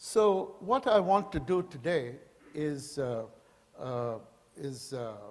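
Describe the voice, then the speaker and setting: A man speaks at a very slow pace with long, frequent pauses, his fairly high pitch moving in lively intonation against audible room echo. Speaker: professor. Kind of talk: lecture. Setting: stage with audience. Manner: halting.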